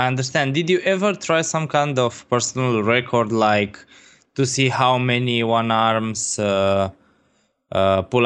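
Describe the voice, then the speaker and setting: A man speaks fairly slowly at medium pitch with ordinary variation. His loudness stays very even against a quiet background. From Romania. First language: Romanian. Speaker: fitness blogger and gym owner. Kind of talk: interview conversation.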